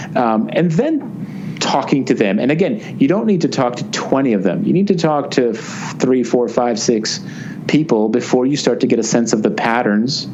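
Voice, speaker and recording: With a New Jersey accent, a man speaks at a moderate pace with very wide pitch swings, amid noticeable background noise and audible room echo. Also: medium pitch for a man. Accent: American, New Jersey. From US, New Jersey. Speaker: business author and consultant. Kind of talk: interview. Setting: remote call.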